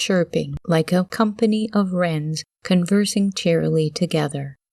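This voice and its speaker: Soft-spoken, a woman talks at a fairly slow pace and medium pitch with ordinary pitch variation, in a dry, close sound with no echo against a quiet background. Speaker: audiobook narrator. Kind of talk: reading aloud.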